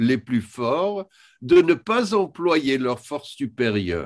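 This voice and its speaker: A man's voice with very wide pitch swings comes through on a very clean recording with a silent background. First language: English (speaking French). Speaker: historian. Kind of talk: lecture. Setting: video conference. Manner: halting, with many hesitations.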